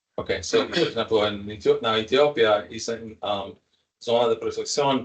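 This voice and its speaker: A man with an English accent. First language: English (speaking Portuguese). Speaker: professor leading climate justice study. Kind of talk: interpreting in a video meeting. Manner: halting.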